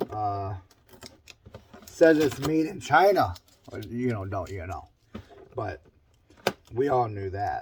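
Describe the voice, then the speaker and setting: Noticeable background noise is present. Over it, a man talks very slowly. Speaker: small engine mechanic. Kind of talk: casual talk to camera.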